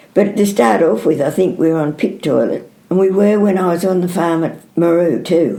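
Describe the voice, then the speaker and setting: A woman speaks at a moderate pace with a fairly low pitch and ordinary pitch variation. Her tone is dark and mellow with vocal fry, and her loudness stays very even. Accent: Australian. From New South Wales South Coast, Australia. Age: 80s+. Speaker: dairy farmer. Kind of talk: oral history interview answer.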